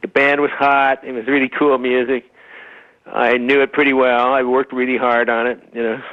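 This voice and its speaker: In an American accent, a man talks at medium pitch with monotone, flat intonation. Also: moderate pace. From Utah. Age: 60s. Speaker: bassist. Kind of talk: interview. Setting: phone call.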